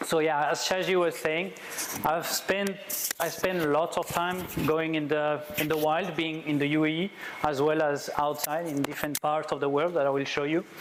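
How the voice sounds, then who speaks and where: Moderate pace, monotone, flat intonation and a French accent, with noticeable background noise. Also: man, fairly high pitch for a man. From France. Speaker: wildlife photographer. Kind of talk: presentation talk. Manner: halting.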